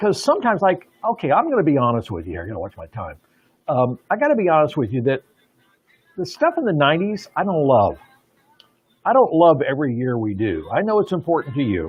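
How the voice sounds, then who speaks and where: Animated in tone, a man talks at a very fast pace with a fairly high pitch and very wide pitch swings, broken by long, frequent pauses. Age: 70s. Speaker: radio host. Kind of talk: casual chat. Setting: studio.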